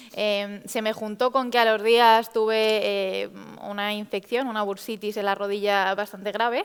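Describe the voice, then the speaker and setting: Monotone, flat intonation at a fairly slow pace over noticeable background noise. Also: woman, fairly high pitch for a woman. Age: 20s. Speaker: patient sharing experience, psychologist. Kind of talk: testimony.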